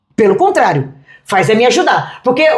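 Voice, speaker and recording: Over audible room echo, a woman talks at a moderate pace. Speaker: pastor. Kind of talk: interview. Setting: restaurant.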